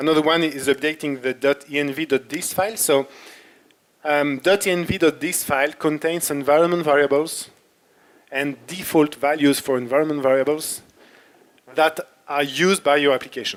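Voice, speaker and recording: At a moderate pace, a man with a French accent speaks at a fairly high pitch. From France (Paris). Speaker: software developer and workshop instructor. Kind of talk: technical workshop. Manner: halting, with fillers.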